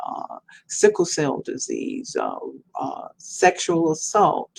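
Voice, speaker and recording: A woman speaks with a Mississippi accent. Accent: Southern US, Mississippi. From Mississippi, US South. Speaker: professor and children's book author. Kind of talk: podcast interview.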